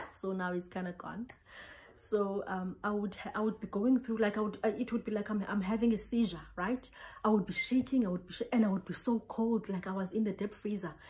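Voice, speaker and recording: At a fairly quick pace, a woman speaks at medium pitch with fairly even intonation over noticeable background noise. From South Africa, Cape Town. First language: Xhosa. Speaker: traditional healer. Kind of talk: personal testimony.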